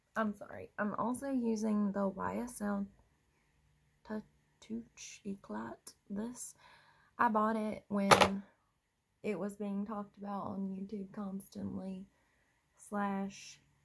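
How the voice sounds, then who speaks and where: Very slowly and with long, frequent pauses, a woman with an American accent speaks in a somewhat breathy, monotone, flat voice at a medium pitch, with big swings in loudness. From US East Coast. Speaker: beauty vlogger. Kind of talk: casual chat.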